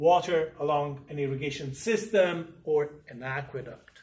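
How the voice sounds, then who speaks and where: Speaking at a fairly slow pace, a man has a fairly high pitch and an unremarkable speaking voice. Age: 60s. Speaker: university professor. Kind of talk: lecture. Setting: classroom. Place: classroom. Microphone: camera far.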